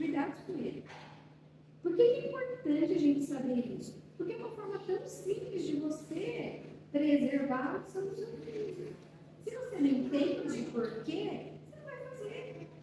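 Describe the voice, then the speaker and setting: A soft-spoken woman with an extremely high pitch talks at a fairly slow pace, with very wide pitch swings and big swings in loudness. Noticeable background noise and audible room echo fill the recording. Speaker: speech therapist. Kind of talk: talk to a parents' support group.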